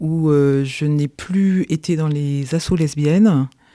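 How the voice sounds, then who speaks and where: At a very slow pace, a woman speaks in a dark, mellow tone on a very clean recording with a silent background. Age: 60s. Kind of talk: podcast interview. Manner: hesitant, many fillers.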